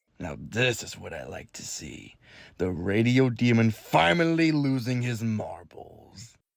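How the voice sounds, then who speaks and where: A man's put-on character voice at medium pitch, fairly slow, on a very clean recording with a silent background. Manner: taunting, mocking.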